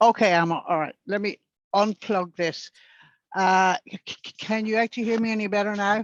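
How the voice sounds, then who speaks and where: In an Irish accent, a woman speaks at a moderate pace with medium pitch and fairly even intonation, the sound dry and close with no echo over a quiet background. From Northern Ireland. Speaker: club member. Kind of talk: q&a discussion.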